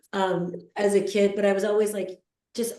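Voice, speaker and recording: The woman's voice is dark and mellow, with a medium pitch and a moderate pace. Room echo is audible around her. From Iran. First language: Farsi. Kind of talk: casual group discussion.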